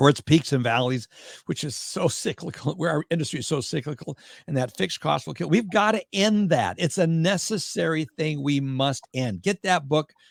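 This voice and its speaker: A man's fairly high, fairly quick voice with vocal fry, lively intonation and an American accent, on a dry, close, very clean recording with a silent background. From Minnesota. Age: 70s. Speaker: mortgage industry consultant. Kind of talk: interview chat.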